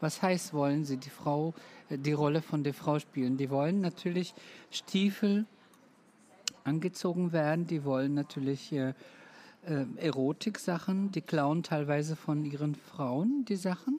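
A woman's dark, mellow tone, very deep and low in pitch, at a fairly slow pace with ordinary pitch variation and long, frequent pauses. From Roma, Balkans. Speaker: make-up artist. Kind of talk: interview.

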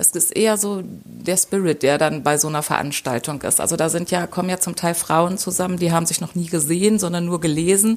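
A woman is speaking. Her pitch is medium, with ordinary variation. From Lower Saxony, Germany. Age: 40s. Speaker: football fan representative. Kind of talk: interview. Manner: hesitant with filler sounds.

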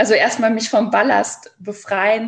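Moderate-paced speech from a woman, an unremarkable speaking voice pitched fairly high. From Saarland, Germany. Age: 30s. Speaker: educator and children's book author. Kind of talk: interview.

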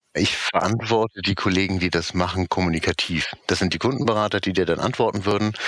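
Very fast and very even in loudness, a man's fairly low-pitched voice moves with fairly even intonation. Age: 40s. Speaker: customer service team lead. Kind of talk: interview.

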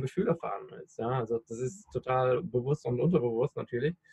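With ordinary pitch variation, a man talks in a voice that is somewhat breathy. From Rhineland, western Germany. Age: 30s. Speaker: podcaster and personal development coach. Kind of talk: interview.

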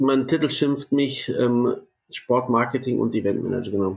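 Speaking at a moderate pace, a man with a plain, everyday voice holds a medium pitch and fairly even intonation. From Munich, Bavaria. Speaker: sports marketing and event manager. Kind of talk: casual interview.

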